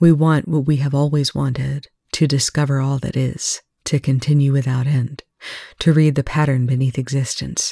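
The text is read aloud plainly, the intonation fairly even and the background quiet.

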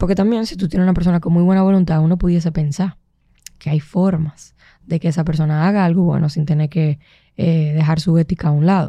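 Very fast and fairly even in intonation, a woman speaks with a fairly low pitch and a dark, mellow tone. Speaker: entrepreneur and producer. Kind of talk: casual chat.

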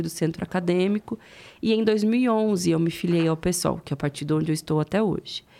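On a very clean recording with a silent background, a woman uses an unremarkable speaking voice at medium pitch, with ordinary pitch variation and a moderate pace. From interior of São Paulo state, Presidente Prudente. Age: 30s. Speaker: politician. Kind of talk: interview.

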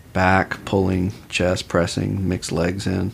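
A very deep, low-pitched man in a calm, relaxed tone at a moderate pace. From Austin, Texas. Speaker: police officer and jiu-jitsu instructor. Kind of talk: casual interview chat.

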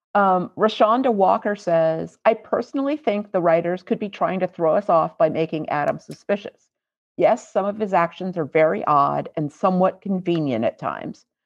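With a normal speaking voice, a woman speaks at a moderate pace and fairly low pitch. Her intonation is lively. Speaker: podcast co-host. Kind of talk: casual chat.

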